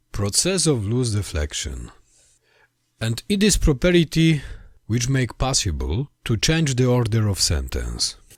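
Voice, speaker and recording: A man with a Polish accent, medium-pitched and somewhat breathy, at a fairly slow pace with very wide pitch swings, on a very clean recording with a silent background. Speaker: language history video maker. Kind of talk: lecture. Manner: halting.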